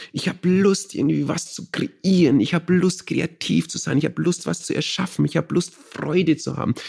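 With a Bavarian accent, a man talks at a moderate pace. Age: 30s. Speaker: meditation teacher. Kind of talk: interview.

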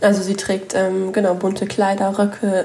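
Noticeable background noise runs under a woman's medium-pitched voice as she talks at a moderate pace. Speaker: journalist. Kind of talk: casual chat.

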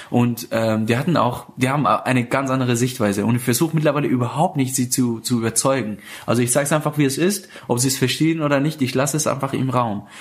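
Over noticeable background noise, a man at a medium pitch rushes along at a very fast pace with hardly any pauses, ordinary pitch variation and very even loudness. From Iran, Afghan family. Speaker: stand-up comedian and show host. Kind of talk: casual interview. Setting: living room, portable recorder.

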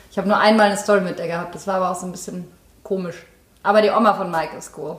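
Speaking very fast in a monotone, flat intonation, a woman with a medium pitch shows big swings in loudness, with audible room echo and noticeable background noise behind her. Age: 30s. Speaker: actress. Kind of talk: casual chat. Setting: in-person recording.

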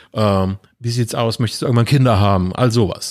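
At a fairly quick pace, a man speaks at a medium pitch in a very clean recording with a silent background. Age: 40s. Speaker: podcast guest. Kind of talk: casual chat.

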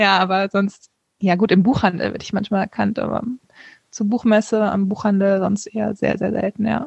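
This woman speaks at a moderate pace and a medium pitch, her fairly even intonation marked by vocal fry, in a dry, close sound with no echo. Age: 30s. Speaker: author. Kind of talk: interview.

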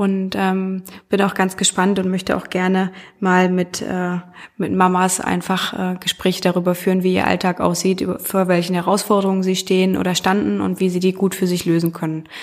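Her pitch sits at a medium level. The woman's intonation is monotone and flat. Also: moderate pace. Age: 30s. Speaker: podcast host. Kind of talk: solo podcast monologue. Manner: hesitant with many fillers.

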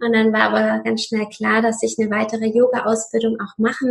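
Using a normal speaking voice, a woman talks at a moderate pace. Her fairly high pitch shows ordinary variation. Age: 30s. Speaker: yoga teacher. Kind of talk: interview conversation.

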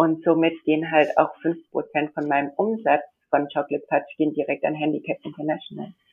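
Talking at a fairly quick pace, a woman has a very deep, low pitch and fairly even intonation. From India. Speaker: model and confectionery entrepreneur. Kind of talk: interview. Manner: hesitant, many fillers.

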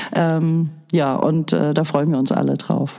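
Music plays in the background as a woman speaks with fairly even intonation. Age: 50s. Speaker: daycare centre director. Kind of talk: interview.

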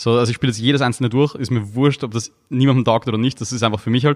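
The delivery is very fast and monotone, with flat intonation. The recording is very clean and dry, close with no echo and a silent background. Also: man. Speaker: YouTuber and content creator. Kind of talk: podcast interview.

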